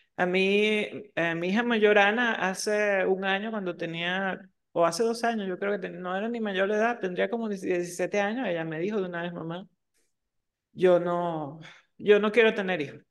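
A woman uses a normal speaking voice at medium pitch. Her pace is moderate and her intonation fairly even. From Venezuela, Margarita Island. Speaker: podcast co-host. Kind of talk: casual chat.

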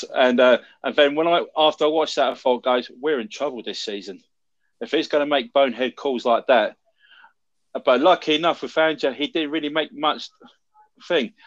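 A fairly high-pitched man with a London accent, long, frequent pauses, and a quiet background. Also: ordinary pitch variation, moderate pace. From London, England. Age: 40s. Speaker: American football fan. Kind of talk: casual chat.

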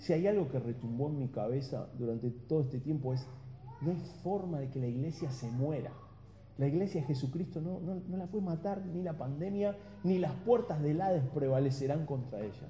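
With an Argentine accent, a man speaks at a moderate pace in a dark, mellow, somewhat breathy tone. His intonation is lively, and audible room echo surrounds him. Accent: Argentine Spanish (Rioplatense). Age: 40s. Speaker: pastor. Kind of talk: sermon.

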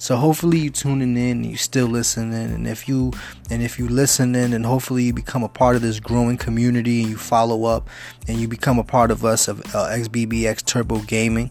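Speaking very quickly, this man has a New York accent. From New York City (Bronx). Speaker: gaming youtuber. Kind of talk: channel intro monologue.

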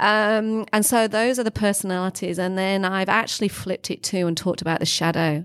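A woman speaks at a fairly quick pace with a northern English accent. Her intonation stays fairly even. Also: very clean recording, silent background. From northern England, Leeds, Yorkshire. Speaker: leadership consultant and author. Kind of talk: interview conversation.

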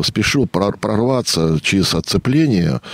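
Pitch swings very widely as a man speaks. The sound is dry and close with no echo, though background noise is noticeable. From Russia, rural state farm settlement. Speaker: historian and local historian. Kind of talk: radio interview. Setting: radio studio.

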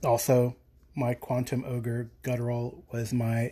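This man's voice sits at a medium pitch, dark and mellow in tone. His intonation is monotone and flat, and he sounds somewhat breathy. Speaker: podcast listener leaving voicemail. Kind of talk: voicemail message. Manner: sniffling.

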